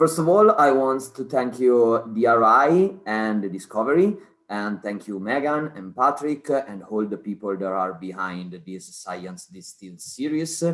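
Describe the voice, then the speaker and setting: Speaking at a fairly slow pace in an Italian accent, a man lets his pitch swing very widely and his loudness rise and fall in big swings. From Italy. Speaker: cancer researcher. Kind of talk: online talk. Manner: hesitant, many fillers.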